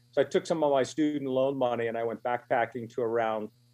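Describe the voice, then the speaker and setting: Fairly quick and fairly even in intonation, a man speaks at a medium pitch in a plain, everyday voice. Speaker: magazine publishing executive and author. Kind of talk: radio interview.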